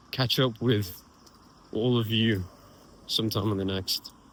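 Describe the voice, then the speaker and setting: A man with an English accent speaks at a fairly low pitch. His intonation is fairly even and his pace fairly slow. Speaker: vlogger. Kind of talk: casual vlog monologue. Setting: outdoors, walking.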